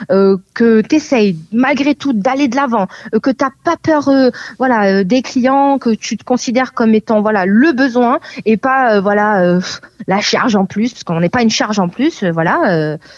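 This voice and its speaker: A woman's fairly high, lively voice at a fairly slow pace, a plain, everyday voice, dry and close with no echo, over a quiet background. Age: 20s. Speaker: real estate agent. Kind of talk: interview.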